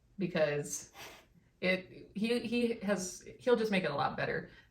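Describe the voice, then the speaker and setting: A woman talks at a very slow pace. Audible room echo hangs around her voice. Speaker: vlogger. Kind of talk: casual chat.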